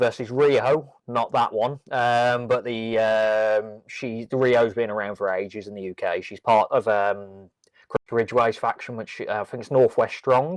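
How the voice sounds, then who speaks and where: Against a quiet background, a voice with a Brummie accent moves at a fairly slow pace with fairly even intonation and big swings in loudness. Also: man, medium pitch for a man, dry, close sound with no echo. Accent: Birmingham (Brummie). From Birmingham, England. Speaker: wrestling podcast co-host. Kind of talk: casual chat. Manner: hesitant, many ums.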